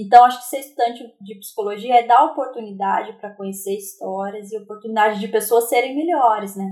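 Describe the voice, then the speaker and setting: With an unremarkable speaking voice, a woman talks at a fairly quick pace with hardly any pauses, fairly high pitch, ordinary pitch variation, and big swings in loudness. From Brazil, interior of São Paulo state (Aparecida). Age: 30s. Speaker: psychology student. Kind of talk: interview. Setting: remote recording.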